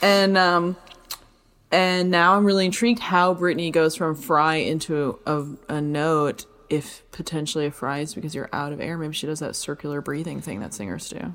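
Croaky and very deep, a woman speaks with ordinary pitch variation and big swings in loudness in a very clean recording with a silent background. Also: moderate pace. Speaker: movement teacher and podcast host. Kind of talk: casual chat. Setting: studio.

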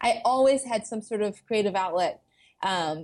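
At a moderate pace, a woman with an American accent talks at medium pitch in an unremarkable speaking voice. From US South, suburban Atlanta, Georgia. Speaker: vegan food blogger and YouTuber. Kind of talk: casual interview chat.

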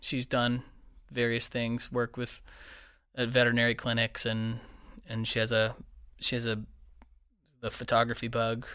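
Over a silent background in a very clean recording, a man speaks at a medium pitch with an American accent. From central Florida (Lakeland). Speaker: musician and studio owner. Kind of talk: casual interview. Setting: recording studio. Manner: halting, many restarts.

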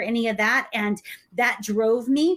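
A normal speaking voice shows ordinary pitch variation. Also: woman. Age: 40s. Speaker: business coach. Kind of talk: casual chat.

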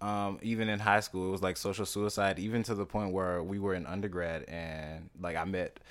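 On a very clean recording with a silent background, a man with a Louisiana accent talks at a moderate pace, with a fairly low pitch and fairly even intonation. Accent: Southern US (Louisiana). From US South, Louisiana. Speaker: actor. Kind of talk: casual interview.

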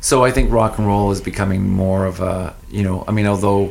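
The speaker has a Maritime Canadian accent and a moderate pace. Background noise is noticeable. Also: man. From New Brunswick, Canada (Fredericton). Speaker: music artist manager and festival founder. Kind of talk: casual radio interview.

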